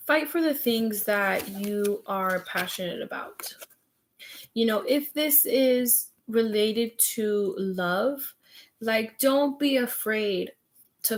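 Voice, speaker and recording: A woman speaks with ordinary pitch variation. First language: Spanish. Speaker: tarot reader. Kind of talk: live stream tarot reading. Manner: animated.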